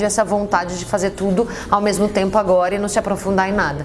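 A woman speaks at a medium pitch while noticeable background noise carries on. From Brazil. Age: 30s. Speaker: café entrepreneur. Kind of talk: interview.

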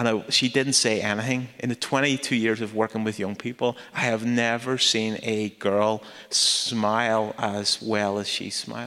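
In a Northern Irish accent, the voice has a bright, sharp tone and a monotone, flat intonation. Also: man. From Northern Ireland. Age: 40s. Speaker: charity founder and speaker. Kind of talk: talk in a church service.

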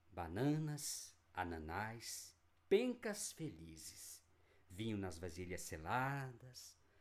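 In a solemn tone and fairly low pitch, a man speaks very slowly with very wide pitch swings. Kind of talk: poem performed, dramatic reading aloud of a translated poem. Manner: solemn, declamatory, with rising indignation and biting irony.

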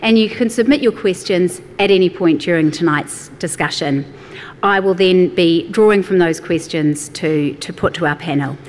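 Over noticeable background noise, a woman talks at a moderate pace in a fairly low pitch with ordinary pitch variation. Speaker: event host and moderator. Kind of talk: event hosting, introductions and moderating. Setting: live event with audience.

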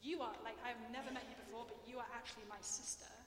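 A woman talks with an English accent at a very fast pace. Her pitch is high and her intonation fairly even. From England. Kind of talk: lecture; audience Q&A. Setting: stage with audience.

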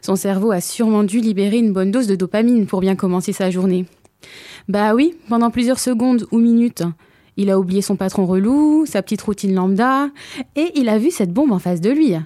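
Heard in a very clean recording with a silent background, a woman speaks at a fairly quick pace with a medium pitch, lively intonation, very even loudness, and a dark, mellow tone. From Hauts-de-Seine, Paris region. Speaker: radio columnist. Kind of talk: humorous opinion column. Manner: playful.

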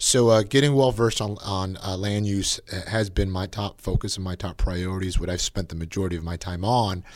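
A man with an American accent speaks in a plain, everyday voice, fairly low in pitch with ordinary pitch variation. He moves at a fairly quick pace with hardly any pauses, on a very clean recording with a silent background. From Napa, California. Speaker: county politician. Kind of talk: interview.

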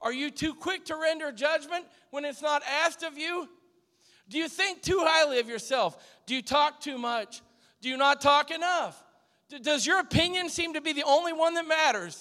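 A man speaks at a moderate pace in a raised, projected voice with a bright, sharp tone, his pitch extremely high and its variation ordinary. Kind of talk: exhortation and prayer.

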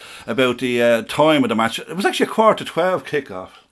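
Very wide pitch swings with a Dublin accent. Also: man. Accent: Dublin Irish. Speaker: football supporter. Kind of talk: casual chat. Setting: studio.

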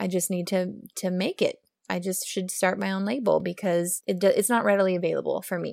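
Recorded dry and close with no echo and a silent background on a very clean recording, a woman with an American accent talks in a normal speaking voice at a medium pitch. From Oklahoma, US. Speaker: brand founder. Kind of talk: casual interview chat.

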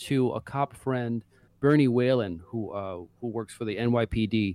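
A man speaks at a medium pitch in an unremarkable speaking voice. The sound is dry and close, with no echo. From Brooklyn, New York. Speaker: author, writer. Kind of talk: casual interview.

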